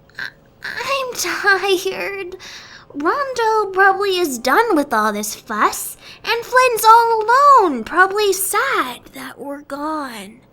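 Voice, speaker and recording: A cartoonish character voice at an extremely high pitch moves at a very slow pace. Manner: casual, chatty.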